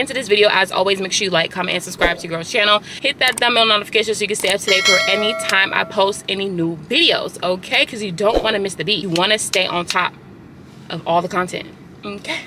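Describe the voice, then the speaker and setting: A woman speaking at a very fast pace, in a dry sound with no echo, over noticeable background noise. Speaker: lifestyle vlogger. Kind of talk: casual vlog chat. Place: car. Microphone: phone near.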